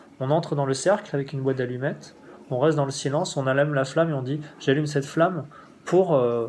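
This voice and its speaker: This man's pitch is fairly high. He talks at a fairly quick pace with fairly even intonation. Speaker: spiritual teacher. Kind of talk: spiritual instruction. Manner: fast; halting.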